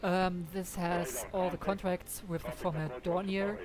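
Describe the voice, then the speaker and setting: The speech moves at a very slow pace, with audible room echo around it. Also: woman. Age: 30s. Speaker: flight sim streamer. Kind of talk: live gameplay commentary. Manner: halting, many fillers.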